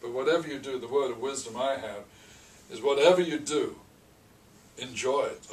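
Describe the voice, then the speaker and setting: A man speaks at a fairly quick pace in a fairly high pitch, with big swings in loudness, ordinary pitch variation, long and frequent pauses, audible room echo and noticeable background noise. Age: 70s. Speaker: restaurant franchise owner. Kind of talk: interview. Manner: halting, repeats words.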